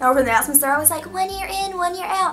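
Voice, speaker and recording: A woman's raised, projected voice with lively intonation over light background noise. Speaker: vlogger. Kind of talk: casual vlog chat. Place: home room. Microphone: phone near.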